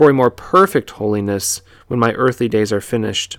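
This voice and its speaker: The recording features an ordinary speaking voice: a man at medium pitch with ordinary pitch variation. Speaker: church podcast host. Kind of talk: podcast monologue, with a read-aloud devotional prayer; slow, earnest, reverent prayer read aloud in a hushed, solemn voice. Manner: warm, conversational, sincere; hushed, measured, fervent in prayer.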